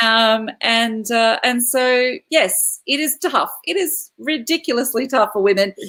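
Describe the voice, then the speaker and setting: A woman with an Australian accent, high in pitch and lively in intonation, at a fairly slow pace with hardly any pauses. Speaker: classical singer performing at corporate events. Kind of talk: live online panel interview. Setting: online video livestream.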